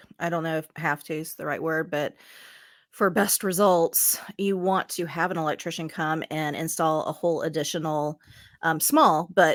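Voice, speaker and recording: A woman with a slight Southern US accent, fairly low pitch and ordinary pitch variation at a moderate pace, in a very clean, dry, close recording with no echo and a silent background. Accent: slight Southern twang. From US South. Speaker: addictions therapist. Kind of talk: casual chat.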